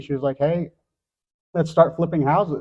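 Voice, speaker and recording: Somewhat breathy, a man talks with monotone, flat intonation. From Philippines. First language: Filipino. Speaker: real estate investor. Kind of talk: panel discussion.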